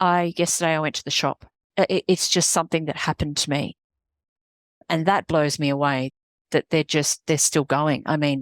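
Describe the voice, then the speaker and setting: A woman with an Australian accent, very deep and low in pitch, at a moderate pace in a monotone, flat delivery with long, frequent pauses, in a dry, close, echo-free and very clean recording with a silent background. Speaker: executive coach, business founder. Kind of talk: podcast interview.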